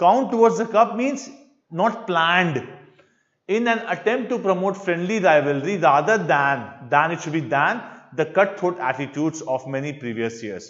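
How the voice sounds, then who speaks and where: Audible room echo surrounds a man speaking at a high pitch with very wide pitch swings. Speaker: English teacher. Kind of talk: lecture. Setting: live online class. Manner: slow.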